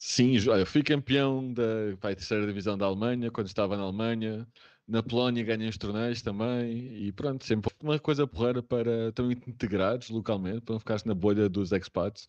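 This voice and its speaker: A man's medium-pitched voice at a moderate pace, fairly even in intonation, with hardly any pauses. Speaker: remote work specialist. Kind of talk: casual interview.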